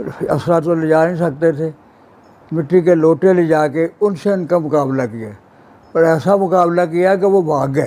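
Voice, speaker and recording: A man talks with a high pitch and ordinary pitch variation. Noticeable background noise runs under his voice. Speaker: Partition eyewitness. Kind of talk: personal memoir interview. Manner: passionate.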